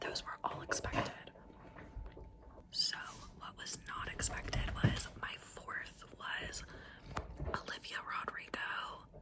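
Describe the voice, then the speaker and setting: A woman whispers over noticeable background noise. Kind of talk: casual whispered ramble to camera. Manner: whispered, soft, intimate.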